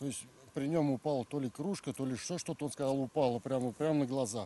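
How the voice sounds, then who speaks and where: A man's dark, mellow tone at a fairly quick pace, with ordinary pitch variation and a dry sound with no echo. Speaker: paranormal explorer vlogger. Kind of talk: casual vlog chat. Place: open country.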